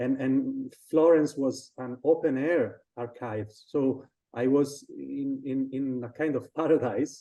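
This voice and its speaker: A man with an Italian accent speaks at medium pitch in a dark, mellow tone. He goes at a very slow pace with fairly even intonation and hardly any pauses. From Sardinia, Italy. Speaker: designer and illustrator. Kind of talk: casual interview. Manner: halting, many repetitions.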